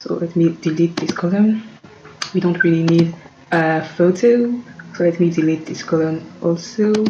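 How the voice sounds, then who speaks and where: A woman's fairly low voice with a non-native accent, fairly even intonation, moderate pace and long, frequent pauses, over noticeable background noise. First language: not English. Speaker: tech tutorial creator. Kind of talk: tutorial. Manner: halting, many fillers.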